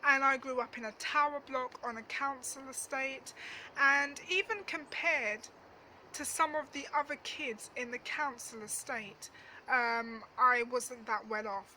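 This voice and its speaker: A woman's raised, projected voice, high in pitch, fairly slow, with ordinary pitch variation. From East London (Dagenham), England. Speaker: travel vlogger. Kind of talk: storytime monologue. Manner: casual, hesitant with fillers.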